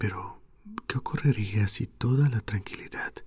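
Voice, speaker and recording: Whispering and soft-spoken, a man talks at a fairly slow pace. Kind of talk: sleep story reading, audiobook-style literary reading. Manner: whispered, soft.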